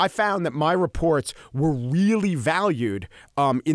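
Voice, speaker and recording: A voice in a Long Island accent carries lively intonation on a very clean recording with a silent background and dry, close sound with no echo. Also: man. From Long Island, New York. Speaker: radio sports reporter and podcast host. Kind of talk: interview answer.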